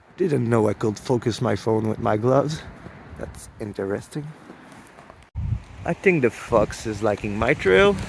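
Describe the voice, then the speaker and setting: In a Quebec accent, a man with medium pitch and lively intonation speaks at a fairly slow pace with long, frequent pauses. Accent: Québécois French accent in English. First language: French. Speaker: hunting vlogger. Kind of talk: outdoor hunting vlog. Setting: outdoors in cold snowy woods.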